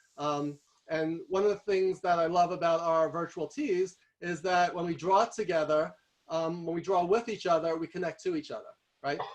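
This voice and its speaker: Pitched high, a man with a New York accent speaks with fairly even intonation. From New York City. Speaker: guest speaker on visual thinking. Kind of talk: workshop presentation. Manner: fast.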